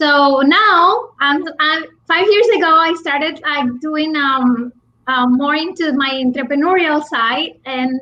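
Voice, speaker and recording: In a Puerto Rican accent, a woman speaks very slowly in a raised, projected voice that is high-pitched with a bright, sharp tone and ordinary pitch variation. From Puerto Rico. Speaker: business coach. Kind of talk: interview. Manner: halting, many restarts.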